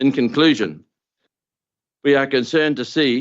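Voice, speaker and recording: With a New Zealand accent, a man speaks at a moderate pace. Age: 70s. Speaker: farmer. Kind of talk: public deputation speech. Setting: council meeting. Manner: formal.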